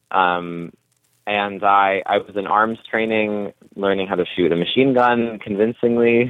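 A fairly low-pitched man with an American accent, an ordinary speaking voice, fairly even intonation, and a fairly slow pace. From California. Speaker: actor. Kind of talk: interview answers.

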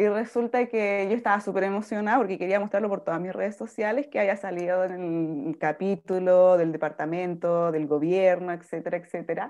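An ordinary speaking voice with ordinary pitch variation, at a fairly quick pace with hardly any pauses. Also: woman, medium pitch for a woman. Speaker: foundation founder. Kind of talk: interview.

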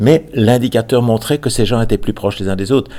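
A man's medium-pitched, dark, mellow voice with ordinary pitch variation, on a very clean recording with a silent background. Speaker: retired psychology professor. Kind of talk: interview.

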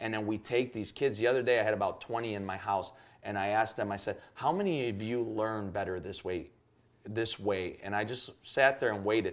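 On a very clean recording with a silent background, a man with an American accent and an unremarkable speaking voice talks at a fairly quick pace, pitched fairly low with fairly even intonation. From Chicago, US (Cuban family). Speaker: youth pastor. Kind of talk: podcast interview.

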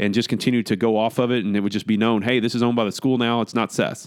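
Very fast speech in a very clean recording with a silent background. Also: man. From Northwest Arkansas. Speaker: sports podcast host. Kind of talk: casual opinion monologue. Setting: at a desk, recording solo. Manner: conversational, with hesitations.

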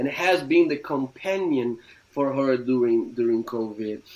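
A man with a Portuguese accent, at a fairly slow pace. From Brazil. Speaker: theology professor and pastor. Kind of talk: interview. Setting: video call.

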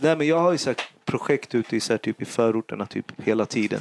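In a dry, close sound with no echo, a man talks at a very fast pace with medium pitch and ordinary pitch variation. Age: 30s. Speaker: rapper and youth worker. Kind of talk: casual chat. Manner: halting.

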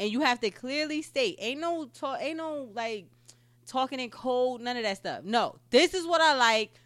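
A woman with an American accent speaks in a high pitch with lively intonation. Her fairly slow pace is caught on a very clean recording with a silent background. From New Jersey. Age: 20s. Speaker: podcast co-host. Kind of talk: casual chat.

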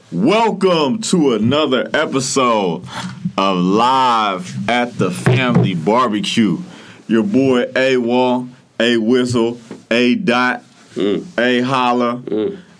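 A man with a medium pitch talks at a very slow pace with lively intonation. Noticeable background noise is present. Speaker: podcast host. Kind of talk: casual chat. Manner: laid-back, filler-heavy.

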